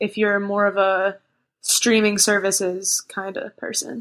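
A woman has a plain, everyday voice with fairly high pitch. She speaks at a fairly slow pace. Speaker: singer-songwriter. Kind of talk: casual chat. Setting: remote call.

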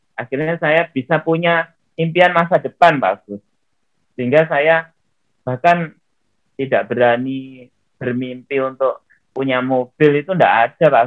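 A man with an ordinary speaking voice talks at a fairly slow pace in a fairly high pitch, with ordinary pitch variation and big swings in loudness. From Riau, Indonesia. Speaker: former honorary teacher turned network-marketing businessman. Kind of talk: interview.

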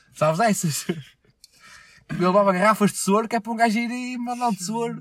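Music plays in the background as a man speaks at a very fast pace. His pitch is high, with ordinary pitch variation. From Portugal. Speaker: podcast host. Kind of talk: casual chat.

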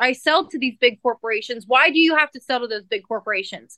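Projecting her voice with a bright, sharp tone, a woman with an American accent speaks fairly quickly and with ordinary pitch variation, the sound dry and close with no echo. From central California. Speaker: dairy farmer and country singer. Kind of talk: interview. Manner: casual, many fillers.

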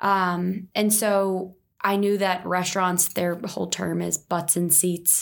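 A woman with an American accent at a very slow pace, monotone and flat, her loudness very even, on a very clean recording with a silent background. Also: medium pitch for a woman. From New Jersey, near Philadelphia. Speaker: startup founder. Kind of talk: interview. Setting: in person studio recording.

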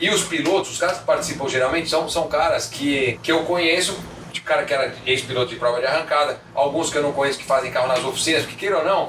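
This man speaks at a very fast pace with fairly high pitch. Noticeable background noise and audible room echo surround him. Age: 40s. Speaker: car magazine founder and journalist. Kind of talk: casual interview.

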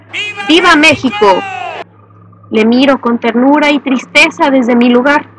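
Against noticeable background noise, a woman with a high pitch talks at a fairly slow pace with lively intonation. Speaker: podcast host and narrator. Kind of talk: scripted narration of a horror story, read aloud. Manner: tense, hushed, seething first-person narration, sinister.

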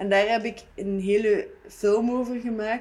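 Here is a woman with an ordinary speaking voice. Her pitch is fairly high and her intonation fairly even. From Ghent area, Belgium. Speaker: art student and video artist. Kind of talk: casual chat.

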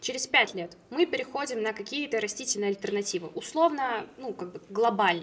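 Fairly high-pitched speech from a woman with big swings in loudness, hardly any pauses and noticeable background noise. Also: lively intonation, moderate pace. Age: 20s. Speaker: plant-based food company co-founder. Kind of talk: casual chat.

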